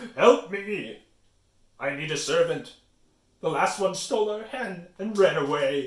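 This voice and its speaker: A man's put-on character voice, high in pitch, at a fairly slow pace with long, frequent pauses and slight echo. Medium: read story. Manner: roaring, brusque.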